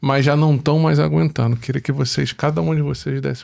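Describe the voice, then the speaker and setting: The speaker is a man at a medium pitch. His pitch swings very widely. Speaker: podcast host. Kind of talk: podcast interview.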